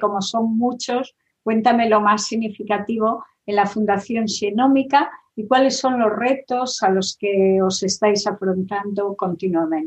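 Using a plain, everyday voice, a woman talks at a fairly slow pace, her fairly high pitch carried in fairly even intonation. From Galicia, Spain. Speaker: interviewer. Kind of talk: interview.

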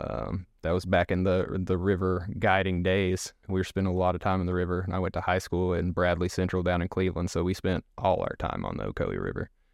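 Very fast and with hardly any pauses, a man with an East Tennessee accent speaks in a very deep, low voice with monotone, flat intonation over a quiet background. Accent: Southern US (East Tennessee). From US South, East Tennessee. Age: 30s. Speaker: podcast guest. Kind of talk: casual interview, personal storytelling. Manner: hesitant, many fillers and repeats.

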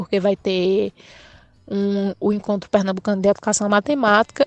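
Over background music, the speaker delivers a monotone, flat intonation at a moderate pace, with a dry, close sound and no echo. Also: woman. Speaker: math student teacher. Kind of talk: personal testimony.

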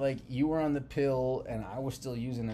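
At a moderate pace, a man speaks in a dark, mellow tone with ordinary pitch variation and audible room echo. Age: 30s. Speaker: podcast co-host, married couple. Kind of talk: casual chat.

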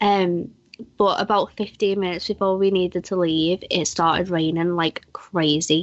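A woman with a British accent speaks in a fairly low pitch with monotone, flat intonation. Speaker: podcast host. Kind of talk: casual chat.

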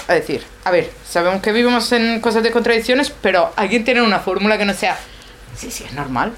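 Amid noticeable background noise, a woman with a fairly high voice and ordinary pitch variation talks at a fairly quick pace, her loudness swinging widely. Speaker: sculptor sharing personal doubts in a group. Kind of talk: personal sharing in group discussion. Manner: fast; halting, many fillers and repetitions.

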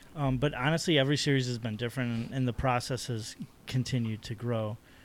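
An unremarkable speaking voice from a man, fairly quick in pace, medium in pitch, its intonation fairly even. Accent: American. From Chicago South Side. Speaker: artist. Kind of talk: casual chat.

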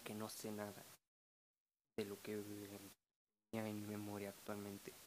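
A man speaks with a Mexican accent at a moderate pace. He takes long, frequent pauses. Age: 20s. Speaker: podcaster. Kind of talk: casual monologue.

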